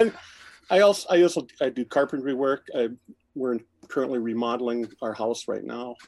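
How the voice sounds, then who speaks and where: A man at medium pitch with an ordinary speaking voice, a moderate pace and ordinary pitch variation. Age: 50s. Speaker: musician and photographer. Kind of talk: casual chat.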